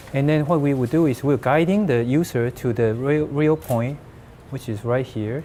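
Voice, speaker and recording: A man with a Chinese accent speaks at medium pitch in a dark, mellow tone. He keeps a moderate pace. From China. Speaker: hackathon team member presenting a demo. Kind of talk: product demo pitch. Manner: halting.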